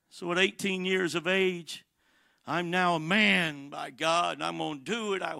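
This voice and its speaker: A man's high-pitched, bright and sharp voice at a fairly slow pace, with fairly even intonation, on a very clean recording with a silent background. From Atlanta, Georgia, US South. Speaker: evangelist preacher. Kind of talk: sermon. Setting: church.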